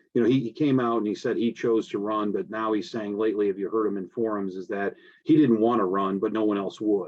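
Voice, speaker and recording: This man speaks in a fairly low voice. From US Midwest, Indiana (Michigan City). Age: 50s. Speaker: prosecutor and election candidate. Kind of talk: candidate forum statement. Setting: video call. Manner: halting, many fillers.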